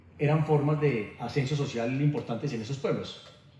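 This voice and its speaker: An unremarkable speaking voice from a man, fairly high in pitch, with fairly even intonation. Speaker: interviewer, program host. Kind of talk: interview questions.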